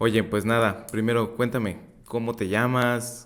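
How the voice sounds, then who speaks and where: The delivery is fairly slow, in a monotone, flat intonation. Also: man. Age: 30s. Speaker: podcast host, insurance advisor. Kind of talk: interview.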